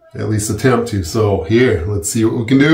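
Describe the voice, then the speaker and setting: A man speaks with ordinary pitch variation, and audible room echo surrounds his voice. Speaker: DIY home repair vlogger. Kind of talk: casual vlog chat. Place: home room. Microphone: phone near.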